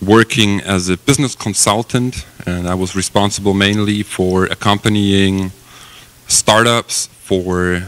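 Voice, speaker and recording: A man with a German accent talks at a fairly slow pace in a fairly low voice. His intonation stays fairly even, and the sound is dry and close with no echo. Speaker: company executive. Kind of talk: conference presentation. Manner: hesitant, many fillers.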